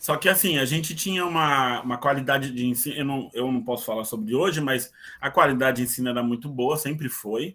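A man's medium-pitched voice, bright and sharp in tone, at a fairly quick pace with ordinary pitch variation. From São Paulo, east zone (São Miguel Paulista). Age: 40s. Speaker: lawyer. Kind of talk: casual interview. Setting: video call.

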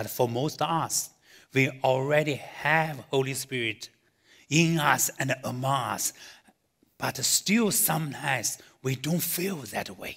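Speaking in a Chinese accent at a very slow pace, a man uses a fairly high pitch with ordinary pitch variation. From China. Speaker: pastor. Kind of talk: sermon. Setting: church with live audience, streamed online. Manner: halting, many fillers.

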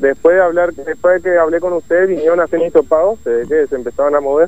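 Speaking at a very fast pace with hardly any pauses, a man uses a high pitch. His pitch variation is ordinary. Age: 20s. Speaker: COVID patient in quarantine shelter. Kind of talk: phone interview.

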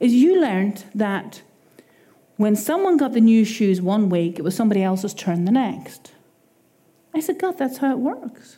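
Very wide pitch swings and long, frequent pauses at a moderate pace. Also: woman. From Ireland. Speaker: preacher. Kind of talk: sermon. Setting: church.

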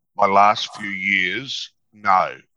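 A man with an Australian accent, bright and sharp in tone, in a dry, close recording with no echo. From North Queensland, Australia. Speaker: psychologist and negotiator. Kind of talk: interview.

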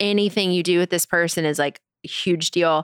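An ordinary speaking voice with ordinary pitch variation, dry and close with no echo, on a very clean recording with a silent background. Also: woman. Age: 30s. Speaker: food stylist and online show host. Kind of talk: casual chat.

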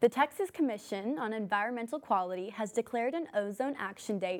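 In a very clean recording with a silent background, a woman uses a normal speaking voice at a moderate pace, her fairly high pitch showing ordinary variation. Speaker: news anchor. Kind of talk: newsreading. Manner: formal, steady, brisk scripted delivery.

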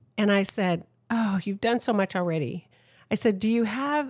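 On a very clean recording with a silent background and a dry, close sound with no echo, a woman with an American accent speaks in a plain, everyday voice at fairly high pitch and a moderate pace with ordinary pitch variation. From San Diego, California. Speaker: accident survivor, mother of the host. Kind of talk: casual chat. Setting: home recording.

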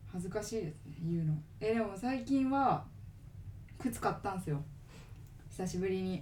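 A woman with a medium pitch and a somewhat breathy, dark, mellow tone speaks at a moderate pace with lively intonation, and audible room echo surrounds her. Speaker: podcast co-host. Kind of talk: casual chat. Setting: recording at home.

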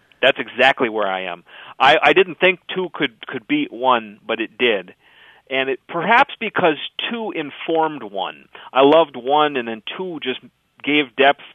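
In a northern Minnesota accent, a man talks with lively intonation and big swings in loudness. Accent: Minnesotan, northern Minnesota. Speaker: writer and radio producer. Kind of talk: interview.

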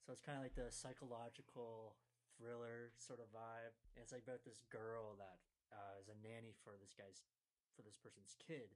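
Using a normal speaking voice, a man at medium pitch talks at a moderate pace with fairly even intonation. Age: 20s. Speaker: podcast host. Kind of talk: casual chat.

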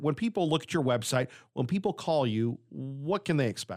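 This is a man with a normal speaking voice. His intonation is lively. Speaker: radio interviewer. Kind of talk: radio interview. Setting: radio studio.

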